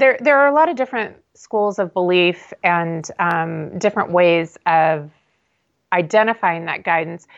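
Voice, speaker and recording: Woman in a plain, everyday voice, fairly low-pitched, with lively intonation at a fairly slow pace. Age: 50s. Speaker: intuitive reader and business owner. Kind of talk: podcast interview.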